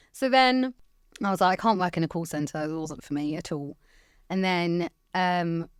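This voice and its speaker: In a southern English accent, a woman speaks at a fairly low pitch. The recording is very clean, with a silent background. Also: lively intonation, moderate pace. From England, Hertfordshire (Watford). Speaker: IT channel executive. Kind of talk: podcast interview. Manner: loud.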